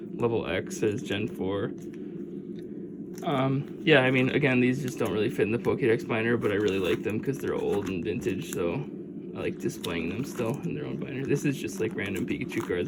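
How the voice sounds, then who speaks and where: Amid noticeable background noise and audible room echo, a man of medium pitch talks at a fairly quick pace with very wide pitch swings. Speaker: YouTuber. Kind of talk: casual show-and-tell video. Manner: casual, filler-heavy; fast.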